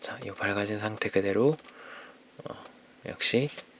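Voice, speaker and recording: A man with a fairly low pitch and fairly even intonation speaks over noticeable background noise. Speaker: ASMR artist. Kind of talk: ASMR makeup roleplay, soft-spoken instructions.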